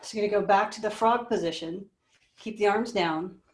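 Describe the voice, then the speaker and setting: Using an unremarkable speaking voice, a woman talks at medium pitch and a fairly quick pace with ordinary pitch variation. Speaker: pilates instructor. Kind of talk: live online fitness class instruction. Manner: encouraging, conversational.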